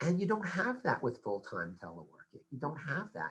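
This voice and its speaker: A man with an American accent speaks in a bright, sharp tone with vocal fry. His pitch swings very widely. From United States. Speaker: labour policy expert. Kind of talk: panel discussion.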